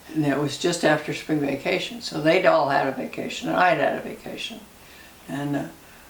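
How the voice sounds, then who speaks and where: Over noticeable background noise, a woman with a very deep, low pitch speaks with ordinary pitch variation and long, frequent pauses. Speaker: grandmother interviewee. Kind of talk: interview answer. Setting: home kitchen. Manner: reminiscing, laughing.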